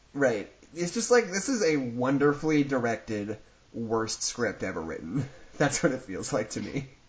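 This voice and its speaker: At a moderate pace, a man speaks in an animated, somewhat breathy tone with very wide pitch swings. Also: medium pitch for a man. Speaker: podcast host. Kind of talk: casual chat. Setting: video call. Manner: animated, joking.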